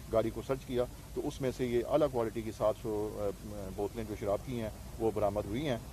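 A man speaks with vocal fry and fairly even intonation, the sound dry with no echo over light background noise. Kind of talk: press statement. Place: street. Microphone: handheld.

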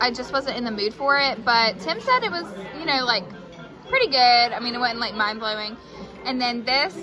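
Clear music plays behind a woman speaking at high pitch and a moderate pace, with ordinary pitch variation. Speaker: food vlogger. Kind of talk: casual vlog food review. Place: cafe. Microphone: phone near.

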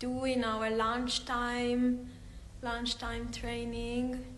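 Over faint background music and audible room echo, a woman speaks very slowly. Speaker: dance teacher. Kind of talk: casual live stream intro. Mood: friendly, cheerful, laughing. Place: hall. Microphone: phone near.

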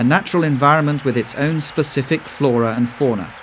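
A man's calm, medium-pitched voice at a moderate pace over noticeable background noise. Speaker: documentary narrator. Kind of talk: nature documentary narration, scripted voiceover. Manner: measured, even-paced, formal; calm and informative, with a storytelling tone.

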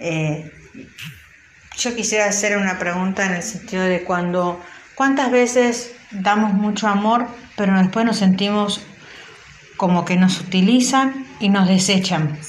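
At a fairly slow pace with long, frequent pauses, a woman speaks at a medium pitch with ordinary pitch variation over noticeable background noise. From Buenos Aires, Argentina. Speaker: listener sending audio messages. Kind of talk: recorded voice message.

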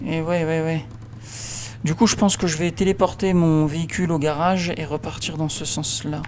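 Fairly high pitch from a man, moderate pace and fairly even intonation, noticeable background noise behind him. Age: 30s. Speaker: gaming YouTuber. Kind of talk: let's play commentary.

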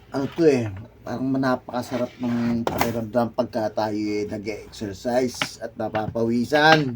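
Noticeable background noise accompanies speech delivered at a fairly slow pace with fairly even intonation. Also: man, medium pitch for a man. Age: 50s. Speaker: overseas Filipino worker vlogger. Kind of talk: casual vlog while exercising. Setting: bedroom.

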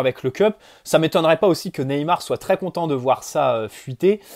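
The intonation is lively as a man talks at a moderate pace. Behind him, the background is quiet. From France. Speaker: football YouTuber. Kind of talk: solo video commentary; casual commentary. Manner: casual, hesitant with fillers. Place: home room. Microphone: earbuds.

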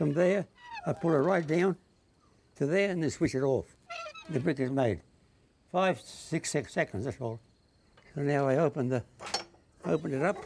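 Long, frequent pauses from a man with an Australian accent at a moderate pace, ordinary pitch variation, and light background noise. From North Queensland, Australia. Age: 80s+. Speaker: retired cane farmer and backyard inventor. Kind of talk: interview answer. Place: workshop.

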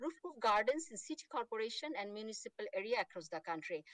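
A woman's voice swings very widely in pitch. The background is quiet and the sound is dry with no echo. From Bangladesh. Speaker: horticulture researcher; remote conference presenter. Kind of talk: conference presentation. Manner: fast; halting, many fillers. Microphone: video call.

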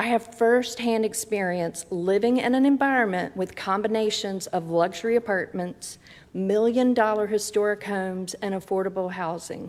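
A woman with a normal speaking voice, fairly high in pitch, with fairly even intonation and a fairly slow pace. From Danville, southern Virginia, US. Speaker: public commenter. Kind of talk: public hearing statement. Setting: city council chambers. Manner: formal.

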